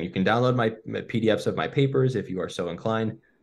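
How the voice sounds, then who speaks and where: The speaker has a Western New York accent and lively intonation. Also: man. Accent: Western New York American. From US, Buffalo, New York. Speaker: neuroscientist. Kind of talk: podcast interview.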